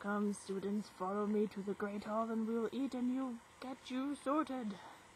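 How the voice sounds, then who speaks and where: A female-sounding voice uses a put-on character voice at a fairly high pitch. She speaks at a moderate pace over clear background noise. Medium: read story.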